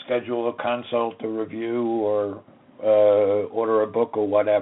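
There is noticeable background noise throughout. The man's voice sits at a medium pitch. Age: 60s. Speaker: lawyer and radio host. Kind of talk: lecture. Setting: radio studio.

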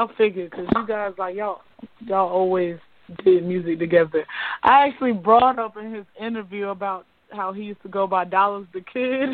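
A woman with an ordinary speaking voice talks at a fairly quick pace and a medium pitch. Her pitch varies in an ordinary way, while her loudness swings widely. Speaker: radio show host. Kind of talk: casual radio interview. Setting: studio.

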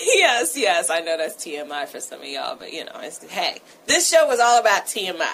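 Noticeable background noise surrounds a woman whose loudness swings widely and whose pitch swings very widely. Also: medium pitch for a woman, moderate pace. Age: 40s. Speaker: radio talk show host. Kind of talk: radio talk show.

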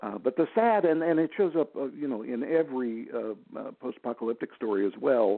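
Speaking in a normal speaking voice with an American accent, a man at medium pitch keeps a moderate pace and lively intonation. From Texas. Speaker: audiobook narrator. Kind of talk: interview.

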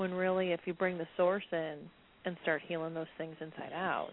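A woman speaks at a moderate pace in a fairly low pitch. Her intonation stays fairly even.

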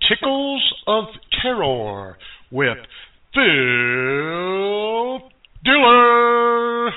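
In a put-on character voice, a man speaks very slowly at a high pitch with big pitch swings, and the room echo is audible.

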